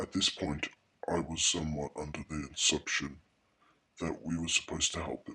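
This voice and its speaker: Speaking at a moderate pace with long, frequent pauses, a man puts on a character voice that is very deep and low. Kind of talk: horror narration. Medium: read story. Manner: hushed, somber.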